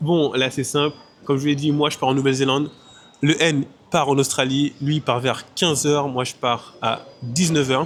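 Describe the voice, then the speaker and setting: A man's fairly high voice, monotone and flat in intonation, at a moderate pace. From Martinique. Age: 20s. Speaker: travel vlogger. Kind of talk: casual vlog talk. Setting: airport.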